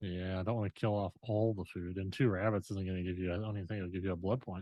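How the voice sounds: A man talks at a fast pace in a low voice, with little pitch movement.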